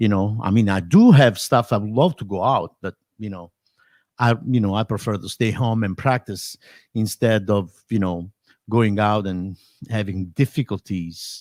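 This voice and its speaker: Fairly low in pitch, a man with an Italian accent speaks at a moderate pace with ordinary pitch variation. The sound is dry and close with no echo, and the recording is very clean with a silent background. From Italy. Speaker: drummer and drum teacher. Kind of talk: casual live stream chat. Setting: home live stream. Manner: halting.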